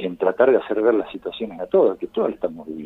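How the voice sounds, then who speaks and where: The man's intonation is lively. He speaks at a fairly quick pace. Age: 50s. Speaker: kiosk owner. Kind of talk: radio interview. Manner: halting.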